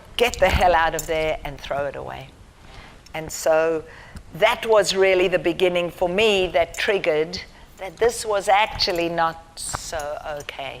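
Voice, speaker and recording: A woman's fairly low-pitched voice with a South African accent, at a fairly slow pace. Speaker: charity founder. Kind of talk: lecture. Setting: university theatre with audience. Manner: halting.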